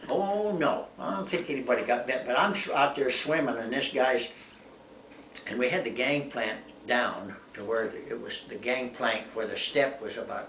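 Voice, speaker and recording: A man speaks at a moderate pace with a medium pitch. Noticeable background noise and audible room echo are present. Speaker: war veteran. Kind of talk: casual chat. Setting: home.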